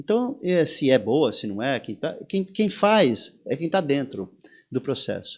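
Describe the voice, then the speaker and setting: Vocal fry marks this man's fairly high voice, which swings very widely in pitch. He goes at a very slow pace over a very clean, silent background. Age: 60s. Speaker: surf instructor. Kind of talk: interview conversation. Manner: animated; halting with repetitions.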